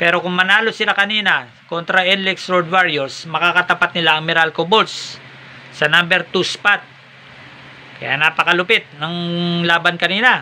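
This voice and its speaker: At a moderate pace, a man speaks with a high pitch and fairly even intonation over light background noise. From Philippines. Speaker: sports vlogger. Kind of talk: sports news recap vlog. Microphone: phone near.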